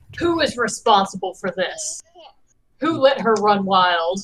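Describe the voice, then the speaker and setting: Using a put-on character voice, a woman booms at a fairly slow pace around a medium pitch, with very wide pitch swings. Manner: demanding, angry.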